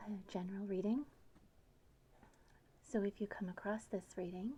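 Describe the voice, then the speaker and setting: Soft-spoken delivery in a gentle tone at a moderate pace. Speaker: tarot reader. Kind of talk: ASMR tarot reading. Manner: soft-spoken, gentle.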